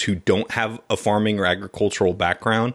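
An unremarkable speaking voice belongs to a man with an American accent. His pace is moderate. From California. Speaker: podcast host and agribusiness recruiter. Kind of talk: interview.

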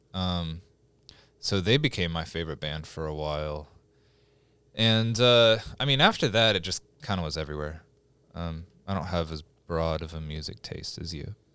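A man with an American accent, very deep and low in pitch, bright and sharp in tone, at a moderate pace with long, frequent pauses, big swings in loudness and ordinary pitch variation, on a very clean recording with a silent background. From Stillwater, Oklahoma. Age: 20s. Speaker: musician. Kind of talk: casual chat.

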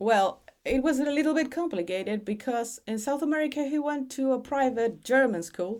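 A woman speaks with a Chilean accent at a moderate pace and with lively intonation. The recording is very clean, with a silent background. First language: Spanish. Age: 40s. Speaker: parent, textile and art specialist. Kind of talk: casual interview conversation. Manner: halting, hesitant with restarts.

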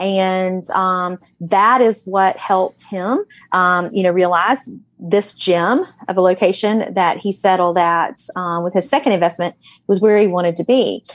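A woman speaks with a strong Southern US accent, her pitch sitting in the middle of her range. She talks at a fairly slow pace with ordinary pitch variation. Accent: thick Southern drawl. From US South, Alabama Gulf Coast. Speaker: realtor. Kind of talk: casual chat.

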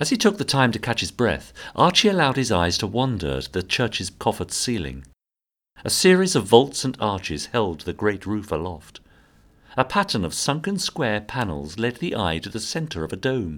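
With a British accent, a man speaks at a moderate pace and a medium pitch. His voice shows vocal fry and very wide pitch swings. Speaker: audio drama narrator. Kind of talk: dramatic scripted narration of a Victorian murder story, atmospheric and suspenseful.

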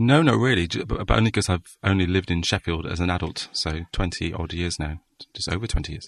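A man speaks at a very fast pace in a very deep, low pitch. His pitch varies in an ordinary way against a quiet background. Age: 40s. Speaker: novelist and copywriter. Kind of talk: casual chat.

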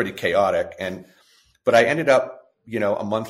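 A man with an American accent. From California. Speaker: restaurant chain executive. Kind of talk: interview.

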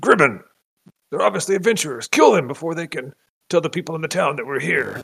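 Using a put-on character voice, a man speaks at a high pitch and a very fast pace. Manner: angry.

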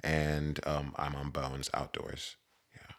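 A man with a very deep, low voice speaks at a very slow pace. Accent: American. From West Virginia. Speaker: roller skater. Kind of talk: casual interview chat.

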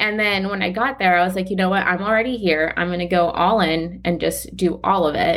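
A woman with a South Florida accent talks at a fairly quick pace with hardly any pauses. Her pitch sits at a medium level. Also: ordinary pitch variation. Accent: American, South Florida. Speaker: integrative medicine doctor. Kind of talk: interview.

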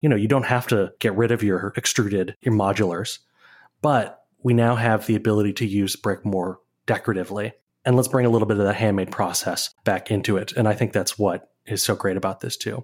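A man with an American accent and a plain, everyday voice talks at a fairly quick pace, his fairly low pitch held to fairly even intonation on a very clean recording with a silent background. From Minnesota (Saint Paul). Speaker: architecture photographer and writer. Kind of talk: interview.

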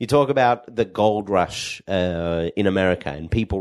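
Against a quiet background, a man with an Australian accent speaks in an animated tone, his very deep, low voice showing ordinary pitch variation. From Perth, Western Australia. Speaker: pharmacist and cannabis entrepreneur. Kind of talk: podcast interview. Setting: co-working space.

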